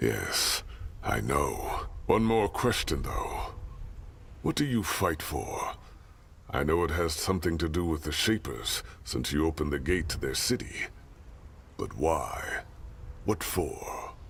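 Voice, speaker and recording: Over clear background noise, a man in a put-on character voice speaks fairly slowly with long, frequent pauses. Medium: video game. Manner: direct, commanding.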